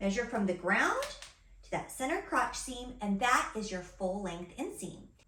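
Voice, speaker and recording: Spoken at a fairly slow pace with lively intonation, the voice jumps widely in loudness over noticeable background noise and audible room echo. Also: woman, fairly high pitch for a woman. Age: 40s. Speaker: personal stylist. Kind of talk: tutorial.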